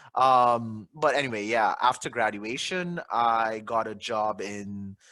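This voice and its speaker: In a Trinidadian accent, the speaker talks at a very slow pace with a bright, sharp tone and ordinary pitch variation, on a very clean recording with a silent background. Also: man, medium pitch for a man. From Trinidad and Tobago. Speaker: tech company co-founder. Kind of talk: podcast interview.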